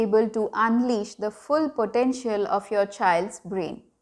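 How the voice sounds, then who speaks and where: Nothing much stirs in the quiet background. A woman talks fairly slowly, her pitch shifting in an ordinary way. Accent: Bengali. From India (Bengali). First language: Bengali. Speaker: parenting vlogger. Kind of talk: tutorial. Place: home room.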